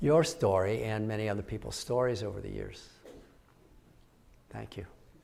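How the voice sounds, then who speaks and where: Speaking at a moderate pace with medium pitch and ordinary pitch variation, a man is heard with audible room echo. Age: 70s. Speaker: professor. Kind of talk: audience Q&A at keynote. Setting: stage with audience. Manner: halting.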